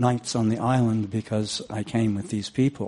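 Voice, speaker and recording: Man's medium-pitched voice with a dark, mellow tone at a moderate pace. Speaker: audience member from a local historical society. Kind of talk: audience comment during Q&A. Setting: live event audience.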